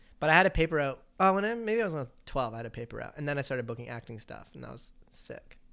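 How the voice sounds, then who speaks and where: Very fast and with hardly any pauses, a fairly high-pitched man with a Canadian accent swings widely in pitch and loudness on a very clean recording with a silent background. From Vancouver Island, Canada. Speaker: actor. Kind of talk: casual chat.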